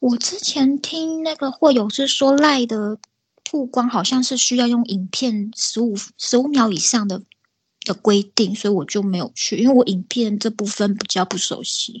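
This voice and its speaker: The background is quiet as a woman speaks at a moderate pace. Her pitch is fairly high, with ordinary variation. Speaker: illustrator. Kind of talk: casual interview chat.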